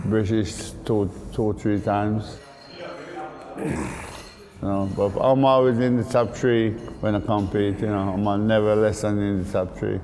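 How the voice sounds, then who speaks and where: In a room with audible echo and noticeable background noise, a man speaks at a fairly slow pace with a fairly low pitch, monotone, flat intonation, and long, frequent pauses. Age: 60s. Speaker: bodybuilder. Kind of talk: interview.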